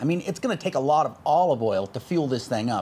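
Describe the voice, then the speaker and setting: Here a man is talking. He moves at a fairly quick pace. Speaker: channel host. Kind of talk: tutorial. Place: workshop.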